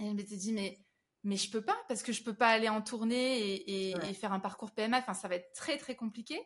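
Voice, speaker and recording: At a fairly quick pace, a woman speaks in a fairly high, somewhat breathy voice with ordinary pitch variation. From southern France, Avignon. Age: 30s. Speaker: singer. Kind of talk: interview, personal testimony. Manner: halting, frequent repetitions.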